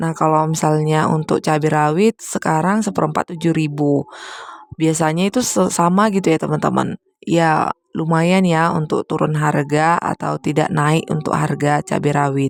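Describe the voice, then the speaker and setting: Her voice very deep and low, a woman talks at a moderate pace with fairly even intonation and very even loudness, in a dry, close sound with no echo. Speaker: homemaker vlogger. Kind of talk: voiceover vlog narration.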